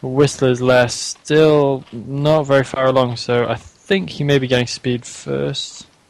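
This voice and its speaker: Over noticeable background noise, a man speaks at a very slow pace with hardly any pauses. His pitch is medium and his intonation fairly even. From England. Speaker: esports caster. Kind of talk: live commentary.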